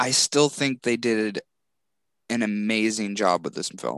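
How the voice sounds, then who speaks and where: The background is quiet and the pace is moderate. The sound is dry and close, with no echo. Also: man. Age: 20s. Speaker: podcast co-host, Godzilla expert. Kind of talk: casual chat. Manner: animated.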